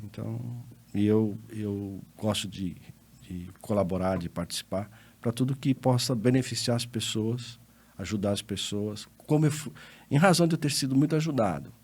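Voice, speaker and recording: A man's fairly low, normal speaking voice at a moderate pace with lively intonation. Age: 60s. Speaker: lawyer and accountant. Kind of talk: interview podcast conversation.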